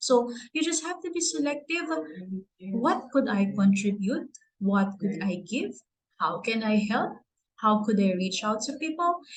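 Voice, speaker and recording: Speaking with a Filipino accent, a woman uses a fairly high, somewhat breathy voice with very wide pitch swings. She goes at a fairly slow pace with long, frequent pauses. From Philippines. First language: Tagalog. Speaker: award recipient. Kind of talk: speech.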